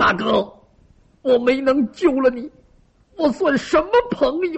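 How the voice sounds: A loud, put-on character voice from a man, extremely high in pitch, with vocal fry and a slightly husky edge. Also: ordinary pitch variation, fairly slow pace.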